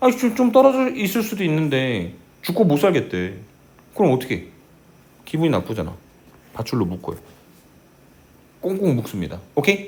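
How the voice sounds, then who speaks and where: With audible room echo, a man of fairly high pitch speaks at a moderate pace, his pitch swinging very widely, vocal fry showing, and long pauses coming often. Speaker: math teacher. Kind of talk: lecture. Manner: slightly slurred articulation; animated.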